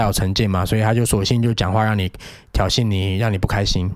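This man talks at a very fast pace with a fairly low pitch. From Taiwan, Penghu. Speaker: after-school program teacher. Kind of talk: casual chat.

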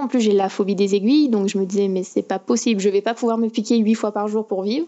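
A woman has an ordinary speaking voice with a fairly high pitch. Her intonation is fairly even. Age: young. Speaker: diabetic patient. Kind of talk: remote interview. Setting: remote call.

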